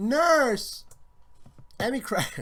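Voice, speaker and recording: The speaker puts on a character voice. The pitch runs fairly high. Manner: strained, awkward attempt.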